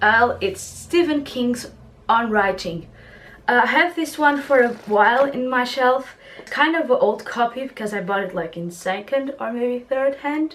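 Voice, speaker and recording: Over noticeable background noise, a woman speaks at a fairly slow pace in a high pitch with lively intonation. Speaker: book vlogger. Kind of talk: casual vlog. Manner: animated.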